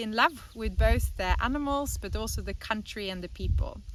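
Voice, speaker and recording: A woman with a Norwegian accent speaks at a moderate pace. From Norway. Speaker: animal sanctuary co-founder. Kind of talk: personal testimony.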